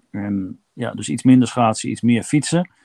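A man speaks at a moderate pace and medium pitch. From eastern Netherlands, Kampen. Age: 50s. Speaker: long-distance cyclist. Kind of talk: interview, casual chat. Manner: halting, many filler words.

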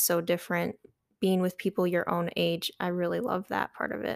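Recorded very cleanly against a silent background, with a dry, close sound and no echo, a woman has an ordinary speaking voice at a medium pitch and moderate pace. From eastern Michigan, near Detroit. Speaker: college student. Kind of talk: casual interview.

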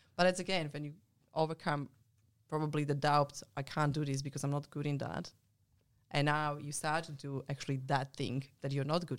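In a non-native accent, a woman speaks at a fairly quick pace with a very deep, low pitch and monotone, flat intonation. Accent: foreign-accented English. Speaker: mentor and ultramarathon runner, business coach. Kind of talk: casual chat.

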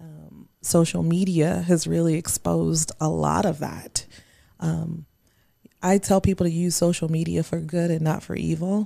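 A woman speaks at a fairly slow pace. The recording is very clean with a silent background. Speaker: guest on community podcast. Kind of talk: casual chat. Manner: loud.

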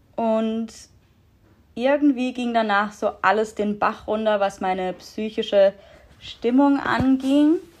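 A woman with a fairly high pitch talks at a very slow pace with ordinary pitch variation. She leaves long, frequent pauses against a quiet background. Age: 20s. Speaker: podcast guest sharing mental health story. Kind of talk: personal testimony in casual interview.

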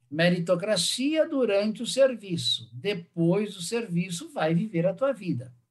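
Pitched high for a man, this male speaker talks at a fairly slow pace with very wide swings in pitch. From southern Brazil, Caxias do Sul (Rio Grande do Sul). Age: 60s. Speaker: businessman and author. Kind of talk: interview. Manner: halting, with frequent fillers and repetitions.

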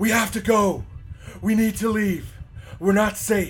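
A man's high-pitched, put-on character voice at a moderate pace. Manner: frantic, urgent, clipped.

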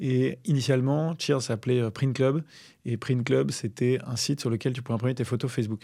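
A very clean recording with a silent background, featuring a man at medium pitch with a dark, mellow tone, fairly even intonation and a moderate pace. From Paris region, France. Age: 30s. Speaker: startup founder. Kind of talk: interview. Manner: hesitant, many fillers.

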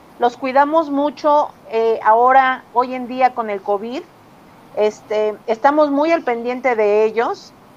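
At a very slow pace, a woman talks in a high pitch with ordinary pitch variation. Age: 40s. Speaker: university student and staff member. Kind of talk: testimony.

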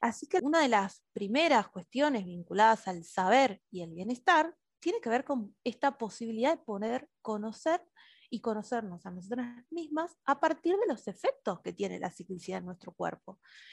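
A woman's fairly high voice at a moderate pace, with very wide pitch swings, big swings in loudness, and a dry, close sound with no echo. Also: quiet background. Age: 30s. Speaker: educator and play therapist. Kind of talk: interview.

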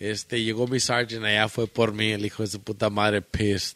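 Speaking at a fairly quick pace with an American accent, a man uses a medium pitch in an unremarkable speaking voice. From Michoacán, Mexico, then Chicago area. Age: 30s. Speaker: podcast guest. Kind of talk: casual chat.

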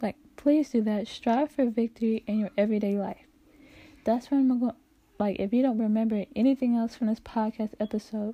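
A woman's dark, mellow, somewhat breathy voice at a fairly quick pace. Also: fairly high pitch for a woman, very clean recording, silent background. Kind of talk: casual faith podcast outro. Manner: halting, jumbled words.

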